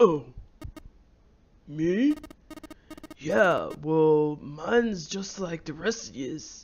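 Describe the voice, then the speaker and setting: A put-on character voice at middle pitch, very slow in pace, with long, frequent pauses. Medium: game stream. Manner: offhand, evasive.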